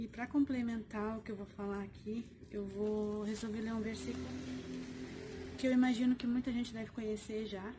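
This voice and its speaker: Over music in the background, a woman with a fairly high pitch speaks at a moderate pace, using ordinary pitch variation and long, frequent pauses. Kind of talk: casual vlog talk. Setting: outdoors on the street. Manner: usually soft-spoken, speaking louder today.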